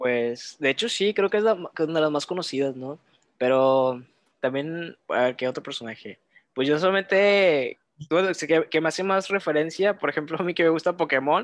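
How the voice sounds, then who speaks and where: Against a quiet background, a man talks at a moderate pace in an unremarkable speaking voice, with a fairly high pitch and ordinary pitch variation. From Reynosa, Tamaulipas, Mexico. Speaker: podcast guest. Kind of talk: casual chat.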